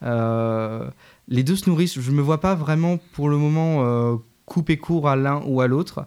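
In a very clean recording with a silent background, a man speaks in a plain, everyday voice at fairly high pitch, fairly slowly, with ordinary pitch variation and very even loudness. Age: 20s. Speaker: musical theatre student and stage director. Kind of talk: interview. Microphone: too quiet.

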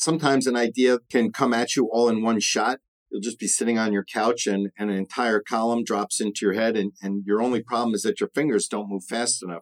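An unremarkable speaking voice, this man talks at a medium pitch and a fairly quick pace, with a dry, close sound and no echo. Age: 50s. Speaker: podcast host and paint retailer. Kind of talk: solo podcast monologue.

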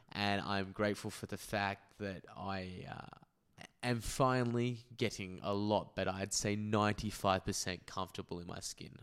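A man with an Australian accent, fairly low pitch, fairly even intonation and a moderate pace. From Perth, Western Australia. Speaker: podcaster. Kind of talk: casual chat.

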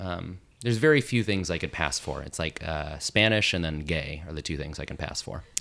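An American-accented man with a very deep, low pitch, speaking at a fairly quick pace with ordinary pitch variation and hardly any pauses. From Las Vegas, Nevada. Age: 20s. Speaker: trivia host. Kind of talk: casual chat.

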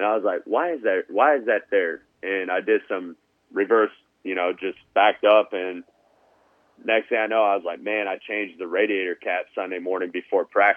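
This man's pitch is fairly low with ordinary variation. He speaks at a moderate pace. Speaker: motocross tech company co-owner. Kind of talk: casual interview chat. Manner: loud.

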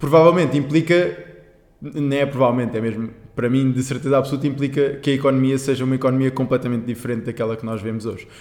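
Very fast speech from a man, fairly high-pitched, fairly even intonation. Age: 20s. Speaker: climate justice activist. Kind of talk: casual chat.

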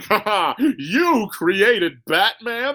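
A man's high, cackling, put-on character voice. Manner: cackling, mocking.

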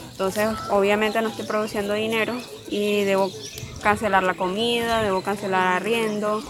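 The delivery is monotone and flat at a moderate pace, with audible room echo and noticeable background noise. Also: woman. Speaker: migrant worker returning home. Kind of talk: field interview testimony.

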